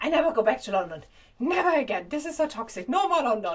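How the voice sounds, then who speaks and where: With a strong German accent, a woman talks at a fairly quick pace. Her pitch swings very widely. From Germany. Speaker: vlogger. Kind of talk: casual monologue to camera. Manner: halting.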